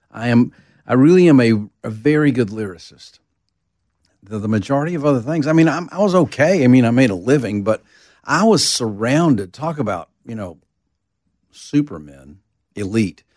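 At a moderate pace, a man with a medium-pitched voice speaks with very wide pitch swings and long, frequent pauses. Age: 60s. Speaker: songwriter. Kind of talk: interview conversation.

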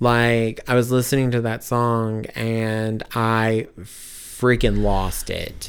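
The delivery is monotone and flat. The pace is very slow. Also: man, medium pitch for a man, hardly any pauses. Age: 30s. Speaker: podcast guest sharing personal loss story. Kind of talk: casual conversational testimony.

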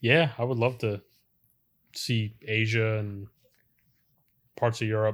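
Speaking at a very slow pace with long, frequent pauses, a man with an American accent is heard on a very clean recording with a silent background. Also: medium pitch for a man, fairly even intonation. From Philadelphia suburbs, US. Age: 30s. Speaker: carpenter. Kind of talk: casual chat.

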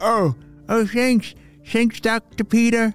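This put-on character voice sits at a fairly high pitch. Faint music plays in the background. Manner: talking with an open mouth.

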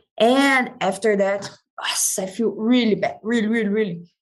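A woman with a Brazilian accent, fairly high pitch and a fairly slow pace. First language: Portuguese. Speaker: MMA fighter. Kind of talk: casual interview.

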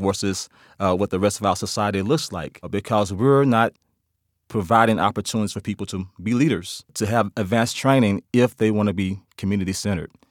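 A man with a Memphis accent, fairly low in pitch, at a fairly quick pace with fairly even intonation, in a very clean recording with a silent background and a dry, close sound with no echo. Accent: Southern US (Memphis). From US South, Memphis, Tennessee. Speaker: criminal justice professor and former police officer. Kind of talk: interview.

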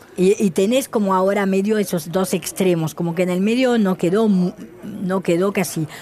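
A woman talks at a moderate pace with very even loudness and hardly any pauses. Noticeable background noise runs underneath. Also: medium pitch for a woman, ordinary pitch variation. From France. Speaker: shoe designer. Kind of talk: interview.

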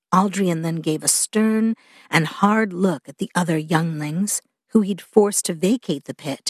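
In a quiet background, a woman with an unremarkable speaking voice talks at a fairly slow pace and medium pitch, with ordinary pitch variation and a dry, close sound with no echo. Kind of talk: audiobook narration. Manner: measured, storytelling pace, expressive.

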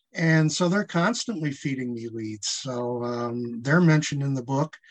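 A medium-pitched man with a Midwestern American accent, at a fairly slow pace with ordinary pitch variation. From Michigan. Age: 70s. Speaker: author. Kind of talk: interview.

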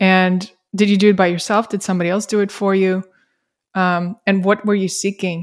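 A woman speaks in a flat monotone with a non-native accent. The recording is very clean, with a silent background. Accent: foreign-accented English. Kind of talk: casual interview conversation.

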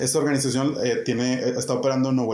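A man's medium-pitched voice comes through with audible room echo and noticeable background noise. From Mexico, Monterrey. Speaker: educator, head of an education nonprofit. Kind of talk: interview.

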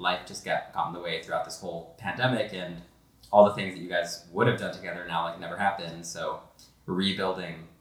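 A man's very deep, low voice at a fairly quick pace, with audible room echo. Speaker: podcast host. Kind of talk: casual chat. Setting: recorded conversation over wine.

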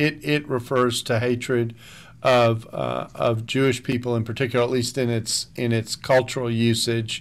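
A man speaks at a moderate pace with a medium pitch and fairly even intonation. The recording is very clean, with a silent background. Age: 60s. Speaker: seminary professor and author. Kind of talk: radio interview. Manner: halting, many fillers and restarts.

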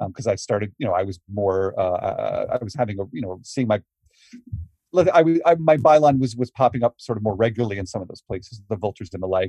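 A man talks very fast with lively intonation and big swings in loudness, his voice fairly low, dark and mellow, somewhat breathy. The sound is dry and close with no echo. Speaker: wrestling journalist guest. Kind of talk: interview answers.

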